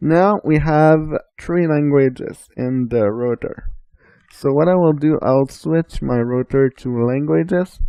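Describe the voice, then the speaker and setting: A man speaks with a Quebec accent at a very slow pace. His pitch is fairly high, with ordinary variation. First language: French. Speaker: assistive technology trainer. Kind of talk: tutorial.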